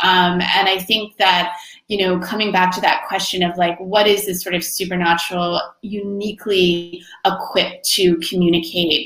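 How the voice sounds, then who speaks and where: Flat, monotone delivery with an American accent at a moderate pace, amid noticeable background noise and audible room echo. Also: woman, medium pitch for a woman. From Florida. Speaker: short story writer. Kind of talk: conversation at book launch.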